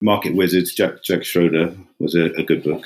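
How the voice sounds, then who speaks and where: In an English accent, the words come at a moderate pace. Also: man. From England. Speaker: retail investor. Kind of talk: podcast interview. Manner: flat, unexcited.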